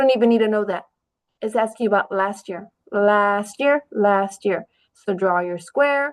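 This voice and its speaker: This woman talks at a fairly slow pace in a normal speaking voice, her pitch fairly high. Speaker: teacher. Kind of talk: classroom test review.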